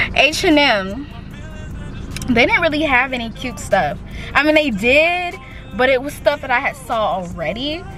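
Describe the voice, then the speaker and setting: Over music in the background, a woman talks at a fairly slow pace with long, frequent pauses and very wide pitch swings. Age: young. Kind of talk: casual vlog talk to camera.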